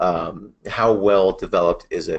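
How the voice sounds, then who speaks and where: A man is speaking. The background is quiet. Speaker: web agency presenter. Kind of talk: webinar presentation. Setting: webinar. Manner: fast.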